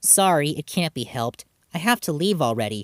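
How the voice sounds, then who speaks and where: Using a put-on character voice, a man talks at a fairly quick pace with a fairly high pitch and very wide pitch swings. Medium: read story.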